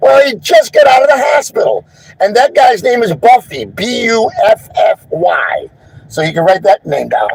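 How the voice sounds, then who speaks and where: At a moderate pace, a man is heard with a dry, close sound with no echo and noticeable background noise. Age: 60s. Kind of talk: live stream account of an incident. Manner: halting.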